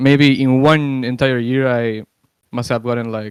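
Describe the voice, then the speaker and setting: A man of medium pitch speaks with a Spanish accent at a moderate pace and fairly even intonation, in a dry, close sound with no echo on a very clean recording with a silent background. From Uruguay. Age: 20s. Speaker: gamer. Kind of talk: interview. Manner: halting, many fillers.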